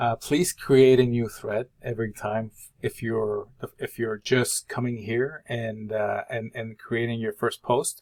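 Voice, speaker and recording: A man at medium pitch and a very slow pace, with fairly even intonation and a dry, close sound with no echo. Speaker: college instructor. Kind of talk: tutorial. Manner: halting.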